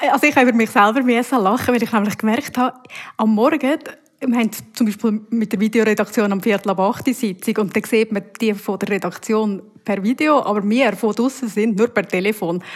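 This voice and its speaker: A woman with an ordinary speaking voice talks at a fairly quick pace, her fairly high pitch showing ordinary variation. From Uri, central Switzerland. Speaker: TV news presenter and reporter. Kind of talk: casual interview answers.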